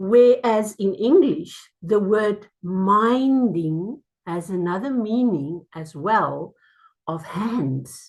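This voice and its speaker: The woman's voice is somewhat breathy and sits at a medium pitch. She speaks at a very slow pace with lively intonation. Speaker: mindfulness speaker. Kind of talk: talk to a small group. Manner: halting.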